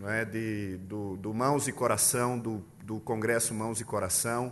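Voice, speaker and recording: A man speaks at a fairly slow pace in a strong northeastern Brazilian accent. Audible room echo surrounds his voice. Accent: thick northeastern Brazilian. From Pernambuco, Brazil. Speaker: pastor. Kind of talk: sermon. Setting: church.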